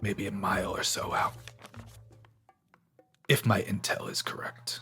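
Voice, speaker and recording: Over faint music in the background, a man does a raspy, put-on character voice at a moderate pace. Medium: actual play. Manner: measured, controlled.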